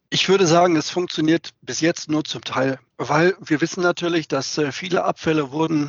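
A plain, everyday voice from a man, pitched fairly high, moving at a moderate tempo. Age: 50s. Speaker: sales director at a plastics trading platform. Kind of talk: interview. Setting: video call.

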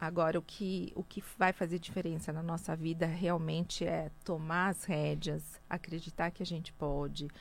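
A woman speaks with a fairly low pitch and monotone, flat intonation. She leaves hardly any pauses. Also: moderate pace. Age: 50s. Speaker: businesswoman and speaker. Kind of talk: radio interview.

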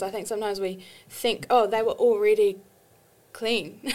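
Fairly high-pitched and fairly even in intonation, a woman talks at a moderate pace in a very clean recording with a silent background. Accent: New Zealand. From New Zealand. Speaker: artist and ministry student. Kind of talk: casual interview chat.

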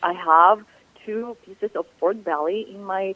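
Speaking at a very slow pace, a woman with a Ukrainian accent shows ordinary pitch variation. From southern Ukraine. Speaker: chef and cookbook author. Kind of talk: radio interview.

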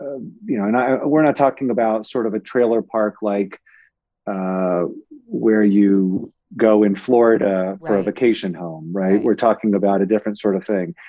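A man with a Californian accent speaks at a fairly low pitch. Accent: Californian American. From Los Angeles, San Fernando Valley. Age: 40s. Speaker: media company executive. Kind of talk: interview. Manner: halting.

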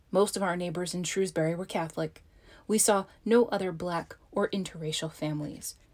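A normal speaking voice with an American accent, moderate pace and ordinary pitch variation, on a very clean recording with a silent background. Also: woman. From Baltimore and southern Pennsylvania, US. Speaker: author. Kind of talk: reading aloud.

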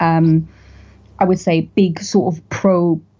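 A woman speaks with a North East England accent. She talks at a fairly slow pace. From northern England, County Durham. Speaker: podcast host, political commentator. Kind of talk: interview.

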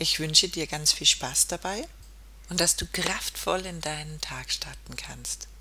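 Speaking fairly slowly in a soothing, calm tone, a woman shows big swings in loudness. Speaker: podcast host and meditation guide. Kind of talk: guided meditation. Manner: slow, soothing, calm; gentle, hypnotic, with long pauses.

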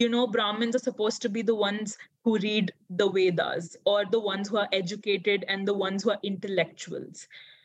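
With an Indian accent, a woman speaks at a moderate pace. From Odisha, India. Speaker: anthropologist. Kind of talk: casual interview chat.

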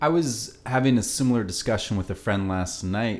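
The speaker is a man. He talks at a moderate pace. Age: 30s. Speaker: podcast host. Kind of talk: casual chat. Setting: home apartment.

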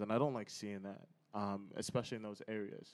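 A man with an American accent speaks very fast at a fairly low pitch, his intonation monotone and flat. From Connecticut / New York area. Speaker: entrepreneur, community founder. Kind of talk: casual chat.

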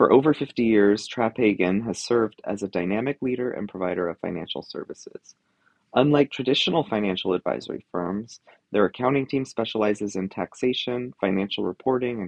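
At a medium pitch with ordinary pitch variation, a man talks in an unremarkable speaking voice. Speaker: podcast host. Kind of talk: panel discussion, moderated. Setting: live at conference.

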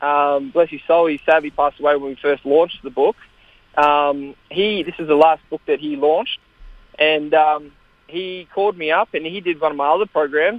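At a moderate pace, a man with an Australian accent talks in a fairly high pitch. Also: fairly even intonation. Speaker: kettlebell world champion and author. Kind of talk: interview.

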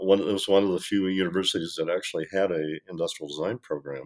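Here a man speaks with a very deep, low pitch. His intonation is fairly even. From US, Michigan. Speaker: industrial designer and design educator. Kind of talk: interview. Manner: halting, many fillers.

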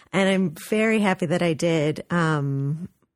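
Against a quiet background, a woman with an American accent uses an ordinary speaking voice, fairly low in pitch with fairly even intonation. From US West Coast, Los Angeles. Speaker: art museum director. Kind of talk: radio interview.

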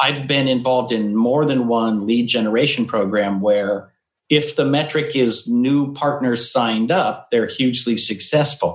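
A man speaks in a normal speaking voice at medium pitch, fairly slow, with hardly any pauses. His loudness stays very even and his pitch varies in an ordinary way. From Eastern Washington, US. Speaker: IT business coach and consultant. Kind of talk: interview conversation. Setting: home office.

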